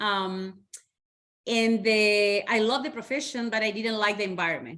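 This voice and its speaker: In a Spanish accent, a woman talks with a bright, sharp tone at a fairly high pitch. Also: ordinary pitch variation, moderate pace. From Chile, Santiago. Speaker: educator and community organizer. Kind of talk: podcast interview.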